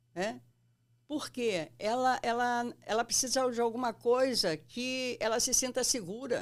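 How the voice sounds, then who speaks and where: On a very clean recording with a silent background, a woman speaks very slowly in a high pitch. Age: 60s. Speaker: psychoanalyst. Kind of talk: interview.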